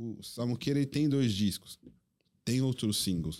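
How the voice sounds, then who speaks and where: Someone male talks at a moderate pace. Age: 30s. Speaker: DJ. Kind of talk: casual chat.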